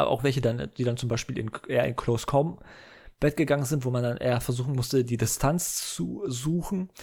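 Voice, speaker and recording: At a fairly quick pace, a man with a medium-pitched, somewhat breathy voice speaks with ordinary pitch variation. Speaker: gaming podcaster. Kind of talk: solo casual monologue. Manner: halting, many filler sounds.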